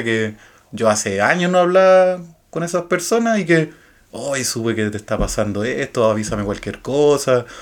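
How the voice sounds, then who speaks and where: Here a man talks in a medium pitch. His intonation is lively. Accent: Chilean. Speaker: podcast co-host. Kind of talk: casual chat.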